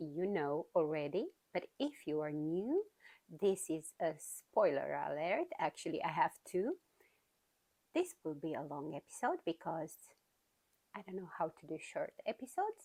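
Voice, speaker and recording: In a Romanian accent, a woman speaks fairly slowly with long, frequent pauses, the sound dry and close with no echo. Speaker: knitting podcaster. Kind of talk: casual chat. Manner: hesitant, many fillers.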